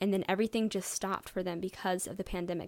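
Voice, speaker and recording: A woman speaks at a medium pitch with fairly even intonation and a Midwestern American accent, recorded very cleanly against a silent background. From US Midwest, St. Louis, Missouri. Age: 20s. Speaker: podcaster and YouTuber. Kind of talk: casual solo monologue. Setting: home bedroom.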